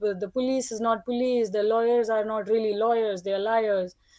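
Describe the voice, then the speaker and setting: Moderate pacing from a woman with a non-native accent. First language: not English. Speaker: roundtable participant sharing personal story. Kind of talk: personal testimony. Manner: halting, self-correcting.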